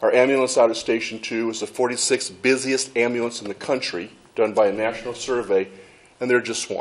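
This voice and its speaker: Fairly even intonation marks a man's medium-pitched voice. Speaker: fire chief. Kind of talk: presentation at public meeting. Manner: fast.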